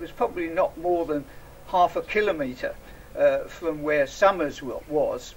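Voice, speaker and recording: The speaker talks at a moderate pace in an English accent, with noticeable background noise. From England. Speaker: association representative. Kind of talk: public speech. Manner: halting, many fillers.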